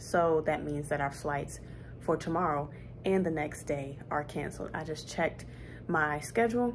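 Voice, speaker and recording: A woman's very deep, low pitch with vocal fry, plus light background noise. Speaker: flight attendant vlogger. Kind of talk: casual vlog chat. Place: home room. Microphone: phone near.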